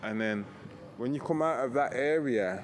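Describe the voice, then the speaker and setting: Ordinary pitch variation from a male speaker with a British accent. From Britain. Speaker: backpacker travel vlogger. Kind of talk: casual walking talk to camera. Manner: hesitant, rambling.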